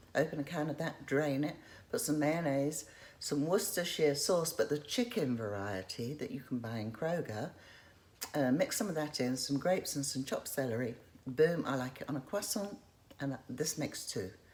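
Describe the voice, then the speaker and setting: Noticeable background noise runs through the clip. The speaking pace is moderate. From England. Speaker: vlogger. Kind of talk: casual show-and-tell vlog.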